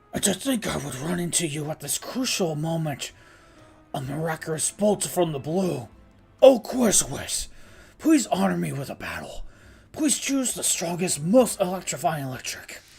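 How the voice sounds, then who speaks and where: Someone uses a put-on character voice at a middle pitch. Faint music sits in the background. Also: moderate pace. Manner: grandiose, dramatic.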